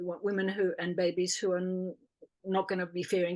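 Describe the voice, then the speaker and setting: The tone is dark and mellow, with an Australian accent. The pace is fairly quick. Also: woman. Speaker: birth educator and doula. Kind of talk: interview.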